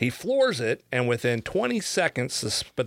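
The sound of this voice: The speaker reads in an unforced reading voice.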